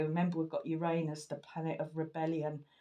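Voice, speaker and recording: Her voice is very deep and low, with a dark, mellow tone and a monotone, flat intonation. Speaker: tarot reader. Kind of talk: astrology and tarot reading talk. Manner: halting, many false starts.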